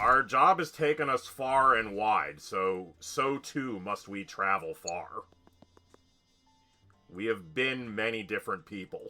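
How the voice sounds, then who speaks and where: Over faint background music, a man uses a put-on character voice at a medium pitch and a fairly slow pace. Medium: game stream. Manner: dry, deadpan.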